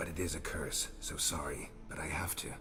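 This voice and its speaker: A man whispers in a put-on character voice at a moderate pace. Loud background noise fills the clip. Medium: video game. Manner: terse, dry.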